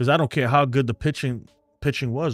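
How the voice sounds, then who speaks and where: A man with a New York accent speaks in an animated tone over music in the background. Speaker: sports fan streamer, Army veteran. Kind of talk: live stream chat.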